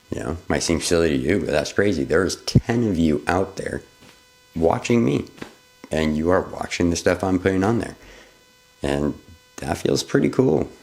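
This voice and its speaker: With noticeable background noise, a man with a very deep, low voice speaks at a moderate pace, using lively intonation and long, frequent pauses. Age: 30s. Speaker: vlogger, photographer. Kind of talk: unscripted personal vlog. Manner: casual, halting at times.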